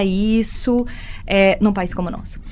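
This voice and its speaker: This woman has a fairly high pitch. It is a normal speaking voice. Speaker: radio host. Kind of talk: radio interview.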